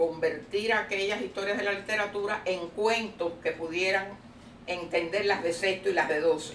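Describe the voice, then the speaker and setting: In a Cuban accent, a woman speaks amid audible room echo and light background noise. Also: moderate pace. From Cuba, Havana. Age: 80s+. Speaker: retired teacher. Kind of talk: oral history interview. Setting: at her home. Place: home room. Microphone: camera far.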